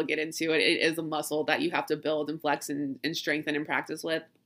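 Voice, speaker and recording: A woman with a Southern US accent talks at a very fast pace. Her fairly low voice has a bright, sharp tone. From US South. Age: 30s. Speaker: witchcraft and astrology podcast host. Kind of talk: casual solo monologue. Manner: chatty, rambling.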